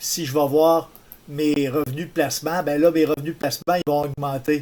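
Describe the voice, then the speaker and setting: Speaking with a Quebec accent, a man uses a fairly high pitch, a fairly slow pace and fairly even intonation. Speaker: tutorial maker. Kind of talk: tutorial.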